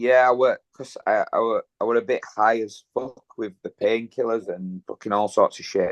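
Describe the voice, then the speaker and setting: Spoken with a Yorkshire accent at a moderate pace with hardly any pauses, the voice has a dry, close sound with no echo. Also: man. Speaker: gym owner and kickboxer. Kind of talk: casual interview, personal testimony.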